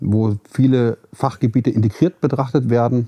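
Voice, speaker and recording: At a moderate pace, a man speaks at a medium pitch with fairly even intonation and a dark, mellow tone, the sound dry and close with no echo. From Hesse, Germany (Marburg). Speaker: facility management consultant and founder. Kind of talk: interview. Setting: studio. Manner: halting, many fillers.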